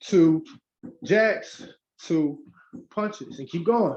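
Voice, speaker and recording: Very slowly, a man with a high pitch speaks in very wide pitch swings. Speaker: fitness instructor. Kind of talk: live workout class instruction. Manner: high-energy, encouraging.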